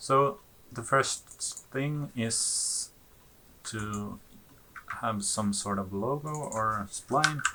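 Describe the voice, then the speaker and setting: Speaking at a very slow pace with long, frequent pauses, the voice has ordinary pitch variation and a non-native accent. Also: man, medium pitch for a man. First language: not English. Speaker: 3D animation tutorial maker. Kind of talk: tutorial. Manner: halting, with frequent fillers; casual.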